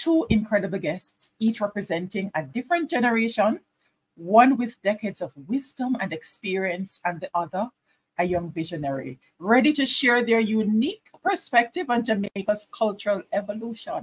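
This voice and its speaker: Her voice is somewhat breathy, with very wide pitch swings. The woman keeps a moderate pace. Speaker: online show host. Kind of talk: show host introduction. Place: home room. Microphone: webcam.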